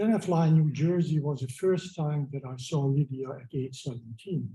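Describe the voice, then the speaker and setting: A man talks at a moderate pace with a fairly high pitch and ordinary pitch variation. His tone is dark and mellow, and somewhat breathy. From Hungary. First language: Hungarian. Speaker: memorial speaker. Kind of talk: memorial speech. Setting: memorial gathering. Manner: halting, many fillers. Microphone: poor audio.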